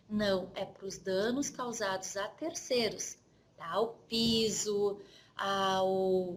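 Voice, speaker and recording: A woman talks with a southern Brazilian accent. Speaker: insurance trainer. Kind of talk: lecture. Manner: conversational.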